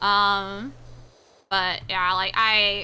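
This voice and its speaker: Recorded very cleanly against a silent background, a woman with an American accent has a bright, sharp tone. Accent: Southern accent shows only when upset. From US South/Midwest border. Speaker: VTuber streamer. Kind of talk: casual livestream chat. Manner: animated.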